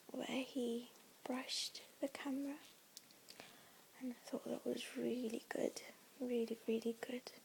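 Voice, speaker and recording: A soft-spoken woman with a high pitch sounds nervous, her intonation monotone and flat. She speaks with long, frequent pauses. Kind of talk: ASMR talk to camera. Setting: home recording with handbag sounds. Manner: soft-spoken, slightly nervous at first.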